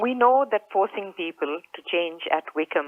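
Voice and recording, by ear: The woman talks at a moderate pace. The sound is dry and close with no echo.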